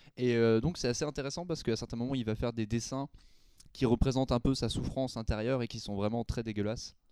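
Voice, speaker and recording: In a very clean recording with a silent background and a dry, close sound with no echo, a man speaks very fast at a medium pitch, his dark, mellow tone keeping a fairly even intonation. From Belgium. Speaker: film editor. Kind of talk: casual chat.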